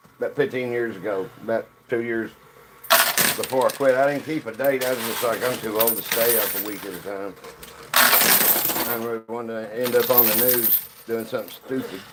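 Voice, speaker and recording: A man's medium-pitched voice with an American accent, fairly even intonation and noticeable background noise. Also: moderate pace. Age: 60s. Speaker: live streamer playing coin pusher games. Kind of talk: casual live stream chat.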